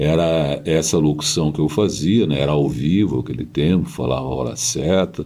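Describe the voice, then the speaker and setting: A man with a very deep, low pitch and a dark, mellow tone speaks with ordinary pitch variation. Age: 70s. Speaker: radio broadcaster and journalist. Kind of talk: interview.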